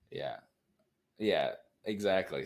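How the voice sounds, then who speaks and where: A fairly slow voice comes through in a very clean recording against a silent background. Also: man. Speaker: movie podcast co-host. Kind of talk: casual chat. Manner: loud; hesitant, many fillers.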